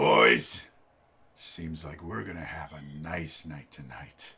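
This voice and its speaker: In a put-on character voice, a man speaks at a very slow pace with a raspy, very deep, low pitch. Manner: menacing, jovial.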